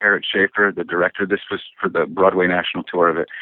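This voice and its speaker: A man with an American accent. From Michigan, Detroit area (Woodhaven). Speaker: actor. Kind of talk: interview.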